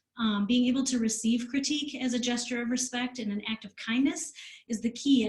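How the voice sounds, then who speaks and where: Fairly quick delivery in an American accent with ordinary pitch variation. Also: woman. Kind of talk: presentation. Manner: fast.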